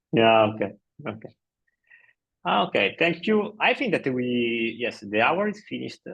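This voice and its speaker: A man's medium-pitched voice at a moderate pace, with very wide pitch swings and long, frequent pauses. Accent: Italian. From Italy. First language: Italian. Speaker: blog post author. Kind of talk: casual meeting chat. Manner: halting.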